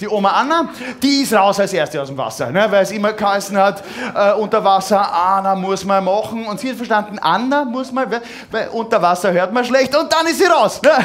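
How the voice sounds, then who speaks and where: Over light background noise, a man with a high voice talks at a fairly quick pace, showing ordinary pitch variation. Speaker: cabaret artist. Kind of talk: cabaret stage performance. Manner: hesitant, halting, ironic. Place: stage. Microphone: headset.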